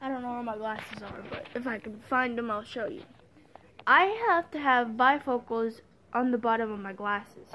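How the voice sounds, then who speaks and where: A woman speaks in a high pitch with ordinary pitch variation. Her pace is moderate, and there is noticeable background noise. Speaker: vlogger. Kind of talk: personal testimony. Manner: halting.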